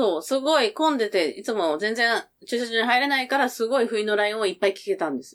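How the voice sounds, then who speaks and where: A woman's fairly high voice at a very fast pace, with very wide pitch swings and big swings in loudness. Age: 50s. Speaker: podcast guest, mother of co-host. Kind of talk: casual chat.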